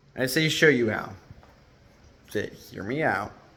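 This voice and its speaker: This is a man speaking. Audible room echo hangs on his voice. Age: 20s. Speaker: entrepreneur vlogger. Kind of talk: casual vlog monologue. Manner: casual, conversational.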